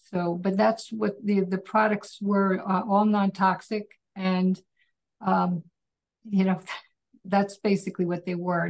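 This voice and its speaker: A somewhat breathy woman with monotone, flat intonation. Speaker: manufacturer and exporter. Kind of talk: interview. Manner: quiet. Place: home room. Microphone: far from the mic; video call.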